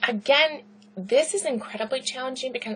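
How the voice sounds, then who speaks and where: A woman with a Southern California accent and a fairly high pitch talks at a fairly quick pace over noticeable background noise. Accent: Valley Girl. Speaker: university lecturer. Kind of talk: lecture. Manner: fast; loud.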